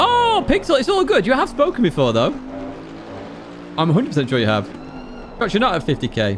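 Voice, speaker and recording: A man at a very fast pace with long, frequent pauses, music playing in the background. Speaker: sim racing streamer. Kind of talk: live stream chat. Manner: excitable.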